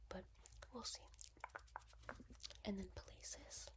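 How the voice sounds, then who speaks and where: A woman speaks at a moderate pace. Her voice is soft-spoken. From East Coast, US. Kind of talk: casual talk to camera.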